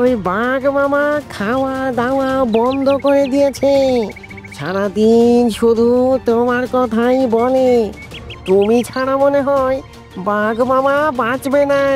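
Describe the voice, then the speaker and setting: A cartoonish character voice with a high pitch moves at a very slow pace over clear music in the background. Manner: fast, wheedling.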